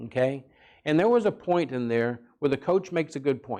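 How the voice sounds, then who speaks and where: A man with a normal speaking voice uses lively intonation against a quiet background. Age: 60s. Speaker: parenting seminar speaker, counselor. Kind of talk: seminar talk. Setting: church.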